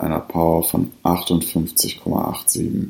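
Speaking at a very slow pace, a man has a dark, mellow tone. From Ruhr area, Germany (Bottrop). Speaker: podcast host. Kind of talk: scripted ranking readout. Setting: at home by the fireplace. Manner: formal.

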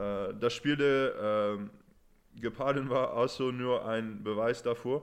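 Against a quiet background, a man at medium pitch speaks at a very slow pace with fairly even intonation and big swings in loudness. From Netherlands, partly raised in England. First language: Dutch or English (speaking German). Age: 20s. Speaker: rugby player. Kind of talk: podcast interview. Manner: halting with fillers.

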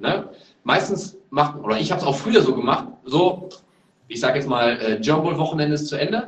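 Very wide pitch swings come at a fairly quick pace, with audible room echo. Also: man. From Germany, Lower Rhine (Neuss). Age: 30s. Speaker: American football player, wide receiver. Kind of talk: podcast interview. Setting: remote call.

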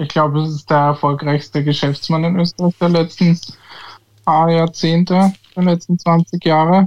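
Monotone and flat in intonation, the speaker talks at a moderate pace in an Austrian accent, the sound dry and close with no echo. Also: man, high pitch for a man. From Austria, Tulln (Lower Austria). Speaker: football pundit. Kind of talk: casual chat. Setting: remote call.

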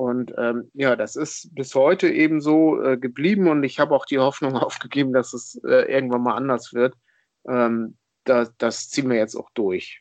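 Here a man speaks at medium pitch. His pace is moderate, with ordinary pitch variation. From northern Germany, rural Schleswig-Holstein near Hamburg. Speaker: football fan, podcast guest. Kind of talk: casual chat. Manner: hesitant, many fillers.

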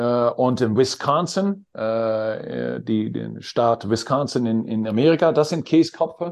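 Using a Dutch accent, a man at medium pitch talks at a very slow pace with hardly any pauses and a lively intonation. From Netherlands. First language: Dutch (speaking German). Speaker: basketball coach. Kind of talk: interview. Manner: halting.

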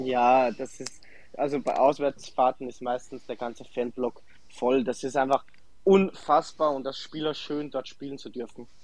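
Speaking fairly slowly at a medium pitch, a man keeps fairly even intonation while his loudness swings widely. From Austria, Salzburg. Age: 20s. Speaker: professional footballer. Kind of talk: interview. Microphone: connection problems.

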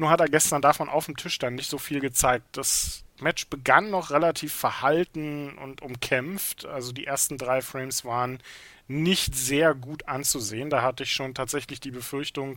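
A man's medium-pitched voice, bright and sharp in tone, with fairly even intonation, big swings in loudness and a fairly slow pace. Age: 30s. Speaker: snooker podcast co-host. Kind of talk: casual sports discussion.

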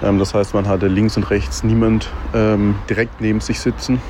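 A man's medium-pitched voice comes through with noticeable background noise around it. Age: 20s. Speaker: racing fan. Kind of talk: voice message. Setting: recorded voice message.

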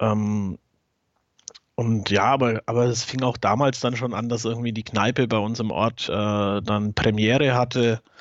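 Flat, monotone intonation marks this man's speech. His pitch sits in the medium range. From Bavaria, Germany (Franconia, near Nuremberg). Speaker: podcast co-host and football fan. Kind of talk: casual chat.

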